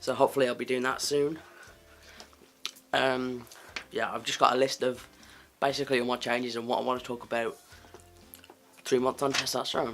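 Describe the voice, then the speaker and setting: Over music in the background, a man at a medium pitch talks fairly quickly in a monotone, flat intonation, with long, frequent pauses. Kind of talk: casual talk to camera.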